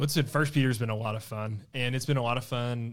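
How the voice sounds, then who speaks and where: In a very clean recording with a silent background, a man with a Southern US accent talks very fast at a medium pitch with fairly even intonation. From East Arkansas (Blytheville). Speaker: student ministry leader. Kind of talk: casual Bible study discussion.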